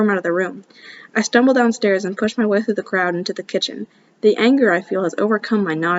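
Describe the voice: Ordinary pitch variation in plain reading aloud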